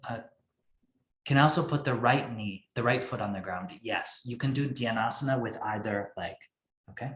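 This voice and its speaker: A man at a moderate pace and medium pitch, with long, frequent pauses. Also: ordinary pitch variation. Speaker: yoga teacher. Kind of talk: instructional class.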